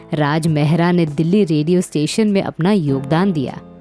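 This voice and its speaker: A woman's fairly low voice with lively intonation, music playing in the background. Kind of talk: documentary biography narration.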